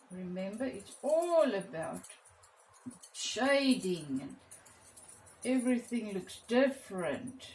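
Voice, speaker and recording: Against music in the background, a woman with a South African accent speaks at a fairly high pitch and very slow pace, swinging very widely in pitch and leaving long, frequent pauses. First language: Afrikaans. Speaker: art teacher. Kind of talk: tutorial. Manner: halting.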